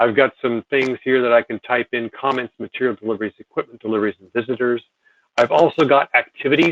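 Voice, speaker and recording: Talking at a very fast pace, a man with a medium pitch keeps a fairly even intonation, his loudness swinging widely in a dry, close sound with no echo. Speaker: software presenter. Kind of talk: webinar software demo. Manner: casual, hesitant with fillers.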